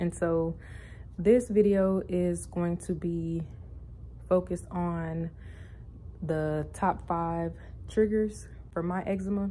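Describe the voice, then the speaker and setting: A woman whispers quietly and somewhat breathily. She goes at a very slow pace with long, frequent pauses. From US South, Louisiana. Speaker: vlogger. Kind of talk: casual vlog monologue. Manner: quiet, near whisper.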